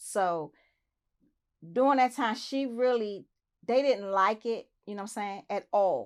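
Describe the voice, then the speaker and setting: On a very clean recording with a silent background, a woman with an American accent speaks at a moderate pace in a normal speaking voice with ordinary pitch variation. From Southeast Washington DC. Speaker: interview guest. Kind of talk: interview.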